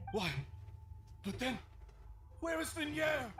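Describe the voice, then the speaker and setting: Over clear background noise, a man puts on a character voice at an extremely high pitch. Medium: video game. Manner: desperate, emotional.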